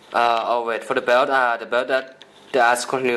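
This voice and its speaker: Over noticeable background noise, a man speaks at a fairly quick pace in a medium pitch. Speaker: toy customizer YouTuber. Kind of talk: product showcase tutorial. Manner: halting.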